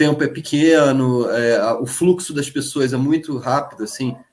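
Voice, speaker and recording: A man talks at a moderate speed, his pitch varying in an ordinary way. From Brazil, Rio de Janeiro state mountain region. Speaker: teacher. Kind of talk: live online panel talk. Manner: halting, many repetitions and fillers.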